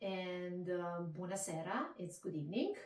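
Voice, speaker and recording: A woman speaks with an Italian accent. Her pace is very slow. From Italy. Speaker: Italian language teacher. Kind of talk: interview answer.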